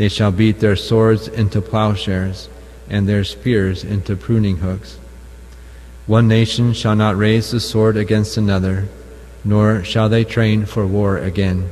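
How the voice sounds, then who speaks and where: In an ordinary speaking voice, a man talks at a fairly low pitch and fairly slow pace, with ordinary pitch variation and very even loudness. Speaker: lector at Mass. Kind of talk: scripture reading aloud. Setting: chapel.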